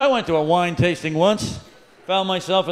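A man's voice comes through high in pitch. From Canada. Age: 60s. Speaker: stand-up comedian. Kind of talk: stand-up comedy set. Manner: fast, rhythmic alliterative rants. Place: stage. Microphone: handheld.

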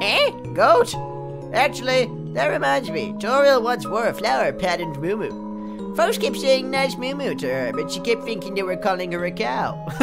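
A put-on character voice speaks at a moderate pace. Loud music plays in the background. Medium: game stream. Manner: gruff, rambling, grumbling.

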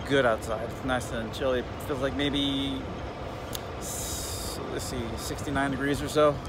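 A man's very slow speech, dry with no echo, over noticeable background noise. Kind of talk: casual vlog chat. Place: car. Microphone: phone near.

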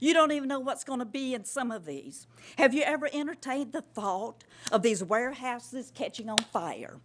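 A woman's high voice in a coastal Georgia accent, with ordinary pitch variation. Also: big swings in loudness. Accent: Southern US (coastal Georgia). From US South. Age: 70s. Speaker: resident speaking at public comment. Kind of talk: public comment at county meeting. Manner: slow; impassioned.

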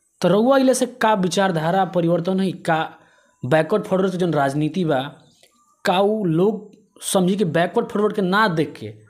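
Against a quiet background, a man speaks at a moderate pace. His pitch is high, with ordinary variation. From Bihar, India. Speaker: local news reporter. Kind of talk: interview. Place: home room. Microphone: handheld.

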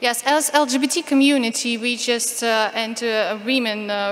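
A woman's fairly high voice with a Ukrainian accent and ordinary pitch variation. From Ukraine. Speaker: activist speaker on LGBT rights. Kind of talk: conference talk. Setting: conference stage with audience, interpreter. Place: hall. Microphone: podium.

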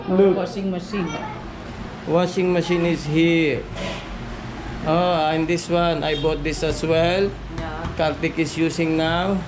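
A man talks very slowly with a high pitch. His intonation is monotone and flat, and there is noticeable background noise. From Philippines. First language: Filipino. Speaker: vlogger. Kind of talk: casual vlog tour. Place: home room. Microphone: phone near.

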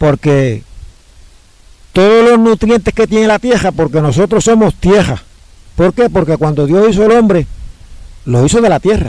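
Over a quiet background, a man speaks with lively intonation in a dark, mellow tone. The sound is dry with no echo. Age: 60s. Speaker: home cook and health diet teacher; health diet teacher. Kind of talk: interview. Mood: cheerful, smiling, convinced. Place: open country. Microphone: phone near.

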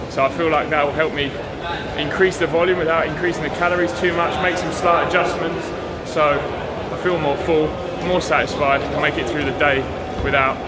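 Loud background noise under a man's fairly quick pace. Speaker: physique competitor vlogger. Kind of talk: casual vlog chat. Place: street. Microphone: phone near.

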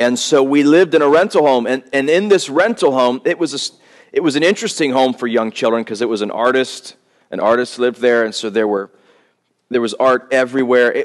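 A man talks fairly quickly with ordinary pitch variation, and the background is quiet. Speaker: pastor. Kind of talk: sermon. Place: church. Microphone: podium.

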